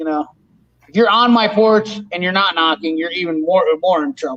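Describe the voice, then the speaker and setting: A man's high-pitched voice at a moderate pace with ordinary pitch variation. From northeastern Iowa. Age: 40s. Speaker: mechanic and tool channel host. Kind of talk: casual live stream chat. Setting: live stream video call. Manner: loud; animated.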